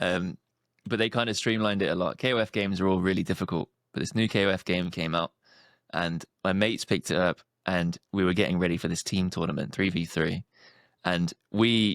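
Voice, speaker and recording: A man talks fairly quickly with a very deep, low pitch and ordinary pitch variation, in a Yorkshire accent. The recording is very clean and dry, close, with no echo and a silent background. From northern England. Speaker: speedrunner. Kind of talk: casual chat. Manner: animated.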